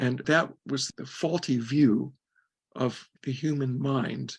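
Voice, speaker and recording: The speaker is a man with a fairly high voice. It sounds somewhat breathy. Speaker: retired philosophy professor. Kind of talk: interview. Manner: sometimes mumbling.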